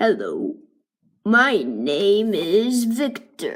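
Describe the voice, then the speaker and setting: Using a put-on character voice, a woman sounds raspy at a fairly high pitch. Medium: read story. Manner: friendly, upbeat.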